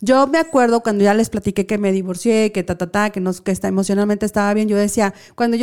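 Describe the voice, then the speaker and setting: Speaking with a Mexican accent, a woman has a medium pitch, a dark, mellow tone and ordinary pitch variation. The recording is very clean, with a silent background. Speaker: radio show host. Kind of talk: casual chat. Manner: animated.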